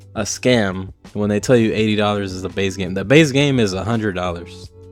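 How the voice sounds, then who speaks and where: With music in the background, a man speaks in a fairly low voice at a moderate pace with ordinary pitch variation. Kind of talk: casual rant to camera. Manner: casual, ranting.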